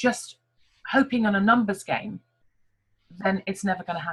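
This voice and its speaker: Speaking at a moderate pace, a woman with an English accent sounds somewhat breathy. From England. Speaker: network marketing team leader. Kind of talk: online team meeting talk.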